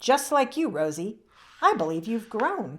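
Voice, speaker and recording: On a very clean recording with a silent background, a woman performs a put-on character voice at a fairly high pitch, with very wide pitch swings and a moderate pace. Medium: read story. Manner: shy, polite, soft-spoken.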